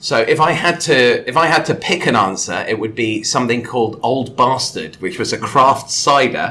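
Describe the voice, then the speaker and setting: Noticeable background noise sits under a man with a West Country accent, speaking at a medium pitch and moderate pace. His intonation is lively, and he leaves hardly any pauses. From England, Exeter in Devon. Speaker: podcast guest, content creator. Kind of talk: casual chat.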